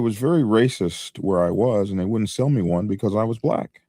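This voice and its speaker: A man talks in a dark, mellow tone. The recording is very clean, with a silent background. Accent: American. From US, Army brat, mainly Oklahoma. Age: 60s. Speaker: motorcycle YouTuber, biker. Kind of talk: interview.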